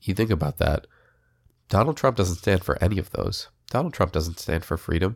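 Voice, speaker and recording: The recording is very clean, with a silent background. A man with an American accent talks fairly quickly in a very deep, low, somewhat breathy voice. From Israel until age seven, then US. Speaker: podcast host. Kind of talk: solo political commentary podcast. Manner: casual, with frequent fillers.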